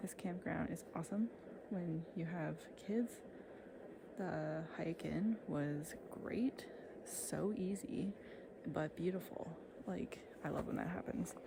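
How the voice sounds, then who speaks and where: The speech moves at a very slow pace, broken by long, frequent pauses. Noticeable background noise runs underneath. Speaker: outdoor vlogger. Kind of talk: casual vlog talk to camera. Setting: outdoors at a backcountry campground. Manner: casual, filler-heavy.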